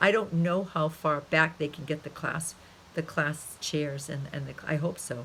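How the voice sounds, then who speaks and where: A woman with a very deep, low pitch and a bright, sharp tone speaks at a moderate pace with ordinary pitch variation. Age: 60s. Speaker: college instructor. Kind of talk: class video message. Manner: animated; halting.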